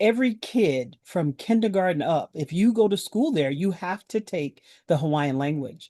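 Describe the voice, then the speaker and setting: In an American accent, a woman with a dark, mellow tone and medium pitch talks at a moderate pace with hardly any pauses and very wide pitch swings, the sound dry and close with no echo against a quiet background. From South Carolina. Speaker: quilt guild leader. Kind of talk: panel discussion.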